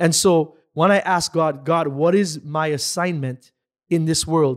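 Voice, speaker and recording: On a very clean recording with a silent background, a man speaks with a high pitch and ordinary pitch variation. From Dominica (Caribbean). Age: 30s. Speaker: entrepreneur, financial firm owner. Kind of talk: interview. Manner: energetic.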